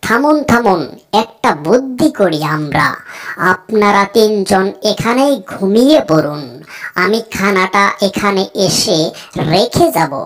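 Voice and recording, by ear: In a cartoonish character voice, a woman speaks at medium pitch with very wide pitch swings and very even loudness. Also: fairly slow pace.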